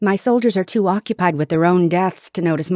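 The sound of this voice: The reading voice is unforced, with ordinary pitch variation.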